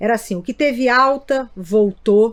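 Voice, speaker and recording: Here a woman is talking at a fairly slow pace. Her pitch varies in an ordinary way. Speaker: neurologist, sleep medicine doctor. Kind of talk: interview podcast. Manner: halting, repeats words.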